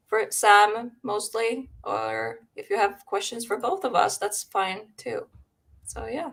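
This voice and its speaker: Speaking with a Finnish accent, a woman goes at a very slow pace, her loudness swinging widely. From Finland. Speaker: paranormal live stream host. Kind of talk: casual chat. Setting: live stream. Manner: halting.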